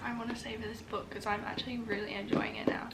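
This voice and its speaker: A woman in a British accent, flat and monotone, with audible room echo and noticeable background noise. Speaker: book vlogger. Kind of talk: casual vlog chat. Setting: at home.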